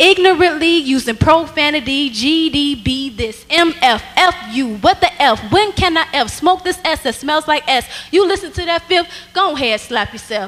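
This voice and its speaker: A woman talks at a high pitch, her intonation lively and her tone animated. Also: fairly slow pace. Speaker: spoken word poet. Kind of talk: spoken word poetry performed at a church rally. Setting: church stage with audience. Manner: forceful, rhythmic, rhyming delivery. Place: church. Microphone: handheld.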